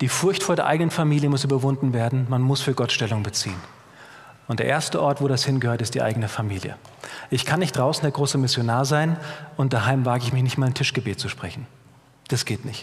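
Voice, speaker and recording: A man rushes along at a very fast pace with ordinary pitch variation, yet stops for long, frequent pauses. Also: medium pitch for a man. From Germany, Middle Rhine (Bad Kreuznach, near Mainz). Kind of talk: sermon. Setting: church.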